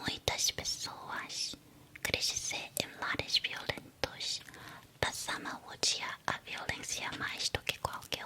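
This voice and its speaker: Against noticeable background noise, a woman whispers at a very slow pace. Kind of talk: whispered ASMR talk about psychology. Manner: whispered, soft-spoken.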